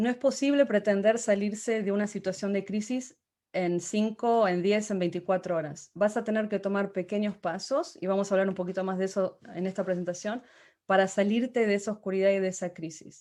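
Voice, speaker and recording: A woman talks at a fairly quick pace in a dark, mellow tone, with ordinary pitch variation over a quiet background. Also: medium pitch for a woman. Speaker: motivational speaker. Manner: halting.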